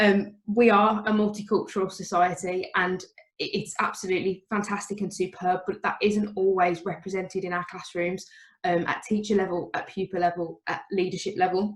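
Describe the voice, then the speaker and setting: Speaking at a moderate pace with a strong Birmingham accent, a woman sounds somewhat breathy, her medium pitch held in a monotone, flat intonation. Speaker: teacher. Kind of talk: talk at an online event.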